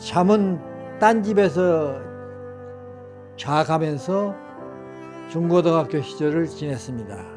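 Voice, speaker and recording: A man speaks very slowly at a fairly high pitch with lively intonation and long, frequent pauses, while music plays in the background. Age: 80s+. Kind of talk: personal memoir told to family.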